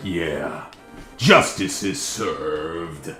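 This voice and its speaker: Clear music plays in the background behind a cartoonish character voice. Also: man, very deep, low pitch for a man. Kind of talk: anime dub voice. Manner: earnest, heroic, over the top.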